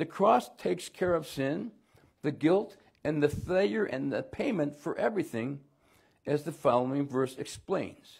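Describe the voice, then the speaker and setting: A somewhat breathy man at a fairly high pitch, speaking fairly slowly with lively intonation over a quiet background. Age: 70s. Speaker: pastor. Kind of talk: sermon. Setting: church. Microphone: lapel.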